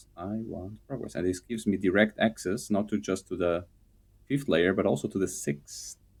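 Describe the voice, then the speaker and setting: A man with a non-native accent speaks in a very deep, low pitch with ordinary pitch variation. His pace is moderate on a very clean recording with a silent background. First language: not English. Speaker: game streamer. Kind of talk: gameplay commentary.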